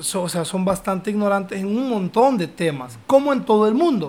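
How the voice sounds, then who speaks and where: This man speaks in a Honduran accent. His pitch is high and his pace fairly slow. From Honduras. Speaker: podcast host. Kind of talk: casual chat.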